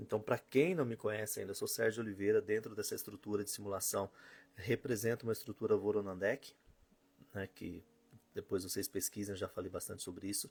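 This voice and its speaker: Somewhat breathy and fairly low for a man, his voice keeps a fairly even intonation at a fairly quick pace. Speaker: spiritual teacher. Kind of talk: live stream talk. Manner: fast.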